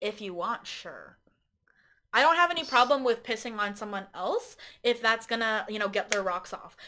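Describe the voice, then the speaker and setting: A woman with a fairly high pitch and a bright, sharp tone speaks at a moderate pace, her loudness swinging widely and her intonation lively. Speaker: guest, host's romantic partner. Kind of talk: casual chat. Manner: giggly, laughs often.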